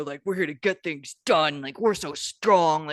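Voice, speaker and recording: A man speaks in a put-on character voice. His pitch is fairly high. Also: moderate pace. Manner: macho, forceful.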